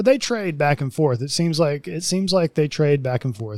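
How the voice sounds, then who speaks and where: A man's dark, mellow tone moves with ordinary pitch variation. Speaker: podcast host. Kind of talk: casual chat. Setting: remote recording.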